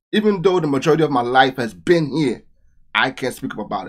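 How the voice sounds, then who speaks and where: A man talks at a very fast pace. His tone is animated and his intonation lively. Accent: Trinidadian. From Trinidad. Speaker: reaction youtuber. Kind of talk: reaction commentary.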